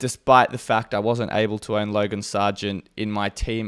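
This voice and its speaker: Here a man with an Australian accent talks at a moderate pace, medium in pitch. His intonation is monotone and flat, on a very clean recording with a silent background. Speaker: fantasy sports content creator. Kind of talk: casual monologue.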